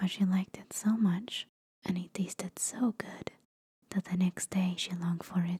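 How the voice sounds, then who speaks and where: Soft-spoken and somewhat breathy, a woman talks at a fairly slow pace in a medium pitch with a dark, mellow tone, the sound dry and close with no echo. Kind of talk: bedtime fairytale reading.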